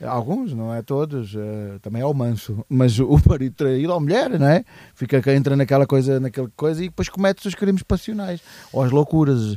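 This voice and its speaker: The man's voice is dark and mellow in tone, and his intonation moves in a lively way. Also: fairly high pitch for a man, moderate pace. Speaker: podcast co-host. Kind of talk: casual chat. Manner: halting.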